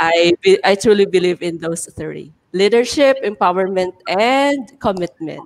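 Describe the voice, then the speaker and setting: A woman with a Filipino accent at a fairly slow pace, lively in intonation, with hardly any pauses. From Philippines. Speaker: teacher. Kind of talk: casual chat. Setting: video call. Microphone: video call.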